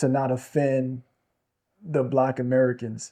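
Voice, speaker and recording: A dark, mellow tone comes through over a quiet background. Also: man. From Ivory Coast. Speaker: interviewer. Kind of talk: casual interview.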